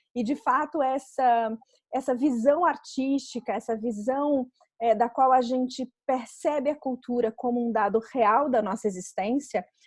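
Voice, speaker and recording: Here a woman speaks in a high pitch. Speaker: interviewer, BodyTalk therapist. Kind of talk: interview questions.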